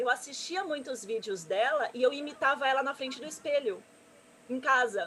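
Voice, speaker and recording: A woman speaks at a high pitch with lively intonation. There is noticeable background noise. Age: 30s. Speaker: gamer and streamer, presenter. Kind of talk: interview on live stream. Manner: fast.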